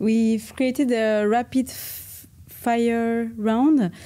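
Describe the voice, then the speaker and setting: The voice has a dark, mellow tone and ordinary pitch variation, with a French accent. The recording is very clean with a silent background. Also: woman. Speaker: interviewer. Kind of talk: interview.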